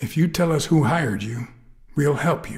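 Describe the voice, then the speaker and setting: A man performs a put-on character voice at a fairly high pitch. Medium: video game. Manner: low, terse, dry.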